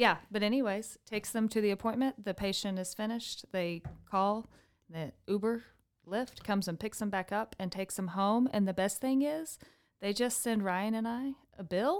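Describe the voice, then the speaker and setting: In an American accent, a woman talks at a moderate pace. Her pitch is fairly high, with ordinary variation. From Texas Panhandle, Amarillo. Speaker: nonprofit executive director. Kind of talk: casual interview.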